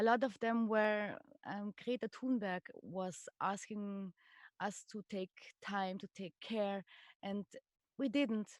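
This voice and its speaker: In a French accent, a woman speaks very slowly with long, frequent pauses. Her medium-pitched voice has fairly even intonation and a dry, close sound with no echo. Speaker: stage artist. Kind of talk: casual chat. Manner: halting.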